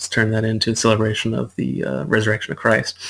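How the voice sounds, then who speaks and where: Speech moves at a fairly quick pace. Nothing can be heard behind it. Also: man. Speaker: student presenting research. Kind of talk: class presentation. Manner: fast; halting, many fillers.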